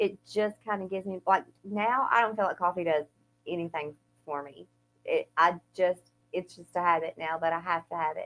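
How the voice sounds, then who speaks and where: A woman speaks in an Eastern Kentucky accent at a moderate pace and medium pitch. Her intonation is fairly even, but her loudness swings a lot. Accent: Eastern Kentucky twang, noticeable. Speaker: podcast co-host. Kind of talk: casual chat.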